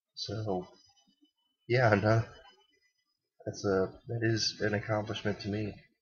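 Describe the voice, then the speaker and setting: Very slowly and with long, frequent pauses, a man talks in a fairly low, somewhat breathy voice with monotone, flat intonation. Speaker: college student. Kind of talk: casual vlog talk to camera. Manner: stuttering, hesitant.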